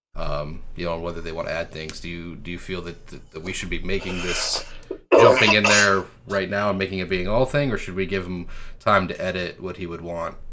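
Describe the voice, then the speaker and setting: A man talks at a fairly quick pace in a very deep, low voice, his loudness swinging widely. The room echo is audible and background noise is noticeable. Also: fairly even intonation. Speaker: meeting chair. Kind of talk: business meeting discussion. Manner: halting, stuttering.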